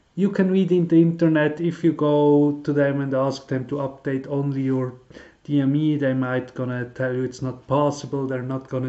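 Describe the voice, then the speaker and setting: Speaking with a Swiss German accent, a man keeps his intonation fairly even. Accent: non-native English, Swiss German. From Switzerland. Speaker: car hobbyist YouTuber. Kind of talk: tutorial. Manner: halting, many fillers.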